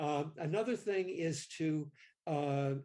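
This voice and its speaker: This man's voice sits fairly high in pitch. It comes across as somewhat breathy. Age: 70s. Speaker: mindfulness practitioner and kindness advocate. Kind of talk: interview. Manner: halting.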